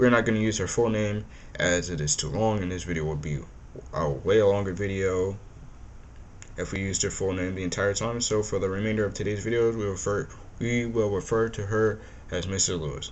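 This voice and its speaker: In a room with audible echo, a man talks at a fairly quick pace with a fairly low pitch and ordinary pitch variation. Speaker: true crime YouTuber. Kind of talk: scripted narration with casual asides. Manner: halting, stumbling over words.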